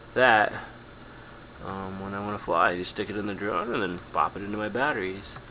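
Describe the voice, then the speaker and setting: A man's fairly low voice with fairly even intonation, audible room echo and noticeable background noise. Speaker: drone hobbyist. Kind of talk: tutorial. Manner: casual, many fillers.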